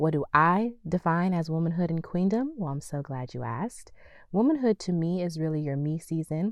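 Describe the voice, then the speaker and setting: At a moderate pace, a woman with a fairly low voice and ordinary pitch variation speaks against a quiet background. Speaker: podcast host. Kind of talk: motivational talk. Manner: calm.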